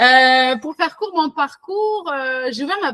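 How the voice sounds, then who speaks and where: Speaking in a southwestern French accent, a woman's voice makes very wide pitch swings. The sound is dry and close, with no echo. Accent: southwestern French, sing-song. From southwestern France. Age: 30s. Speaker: virtual assistant, entrepreneur. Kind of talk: interview. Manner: many fillers (euh).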